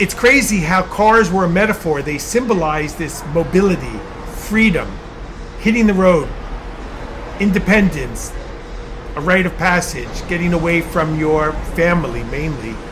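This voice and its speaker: Over noticeable background noise and audible room echo, a man with a Long Island accent speaks at a high pitch and a moderate pace, with ordinary pitch variation and long, frequent pauses. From Long Island, New York suburbs. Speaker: artist and vlogger. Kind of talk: casual monologue vlog turning into lecture. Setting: in a garage with a car.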